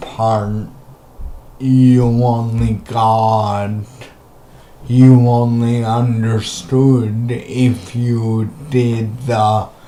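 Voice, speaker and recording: Over noticeable background noise, a man speaks very slowly at medium pitch with monotone, flat intonation. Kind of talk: casual talk to camera.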